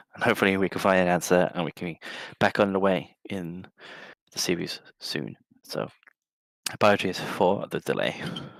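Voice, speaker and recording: A man speaks in a very deep, low pitch with fairly even intonation and long, frequent pauses. The sound is dry and close, with no echo. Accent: English. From England. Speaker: esports caster and coach. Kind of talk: live commentary. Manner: fast.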